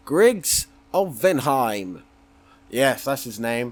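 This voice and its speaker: A man is speaking. He has a West Country accent. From Somerset, England. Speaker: gaming YouTuber. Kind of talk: gameplay commentary. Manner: mumbling; casual, rambling with fillers.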